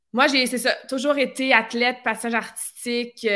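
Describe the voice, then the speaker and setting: A woman speaks in a bright, sharp tone. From Quebec, near Vaudreuil. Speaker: fitness coach and former figure skater. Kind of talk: interview storytelling. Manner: enthusiastic.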